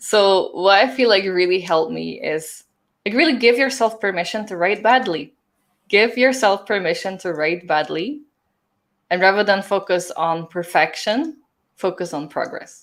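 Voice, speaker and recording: A woman with a non-native accent speaks at a medium pitch and a moderate pace, with lively intonation. The recording is very clean, with a silent background. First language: not English. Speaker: book strategist and author. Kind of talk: live-streamed interview. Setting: live stream.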